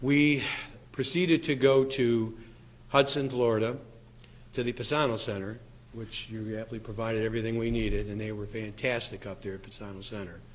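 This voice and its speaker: A man at a medium pitch shows big swings in loudness, with audible room echo around him. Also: ordinary pitch variation, fairly quick pace. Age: 60s. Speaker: patient sharing treatment experience. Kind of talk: testimony. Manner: halting.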